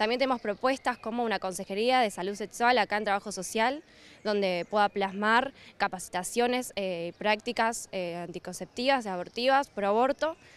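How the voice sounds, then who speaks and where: With an unremarkable speaking voice, a woman talks at a moderate pace and a fairly high pitch with ordinary pitch variation, in a dry sound with no echo. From Argentina. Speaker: student activist. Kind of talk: campaign statement. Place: street. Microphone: handheld.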